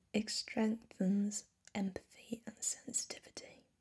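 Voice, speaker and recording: Soft-spoken and somewhat breathy, a woman talks in a fairly high pitch with a dark, mellow tone and monotone, flat intonation. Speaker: ASMR creator. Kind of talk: soft-spoken ASMR crystal collection presentation. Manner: soft-spoken, slow.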